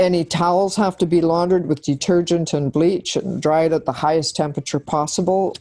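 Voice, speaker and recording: A woman with a Canadian accent, fairly low in pitch and dark, mellow in tone, at a fairly quick pace with fairly even intonation, very even loudness and hardly any pauses. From Canada. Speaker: cosmetology examiner and trainer. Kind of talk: podcast interview.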